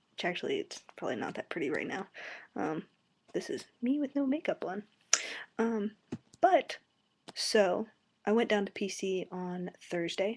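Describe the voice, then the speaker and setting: Against a quiet background, a soft-spoken woman talks at a moderate pace with long, frequent pauses. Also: medium pitch for a woman, lively intonation. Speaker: college student vlogger. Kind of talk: casual video blog. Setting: webcam at home, late night. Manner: soft-spoken, talking quietly; hesitant, many fillers.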